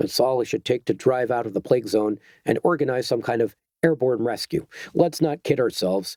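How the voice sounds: Set against a quiet background, a natural reading voice carries lively intonation.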